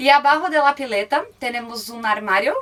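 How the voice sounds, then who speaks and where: A woman in a Brazilian accent, with noticeable background noise. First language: Portuguese (speaking Spanish). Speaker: van-life traveler. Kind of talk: motorhome tour. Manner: halting.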